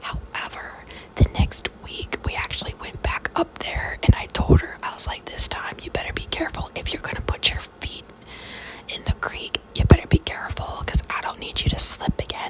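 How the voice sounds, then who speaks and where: Whispering at a moderate pace, a woman's loudness swings widely. There is noticeable background noise. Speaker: mother who makes ASMR videos. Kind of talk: whispered ASMR storytelling. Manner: whispered, storytelling.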